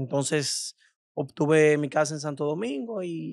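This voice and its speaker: The sound is dry with no echo, over a quiet background. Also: man. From Dominican Republic, Cibao region (Tenares, San Francisco de Macorís); Dominican Republic. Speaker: influencer and beauty salon owner; influencer. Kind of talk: casual interview. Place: studio. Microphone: studio mic.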